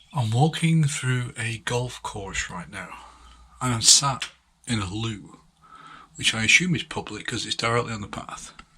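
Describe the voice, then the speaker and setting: Soft-spoken and bright, sharp in tone, a man talks at a fairly slow pace with a medium pitch and ordinary pitch variation. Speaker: hiker vlogger. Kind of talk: vlog narration. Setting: public bathroom; outdoors.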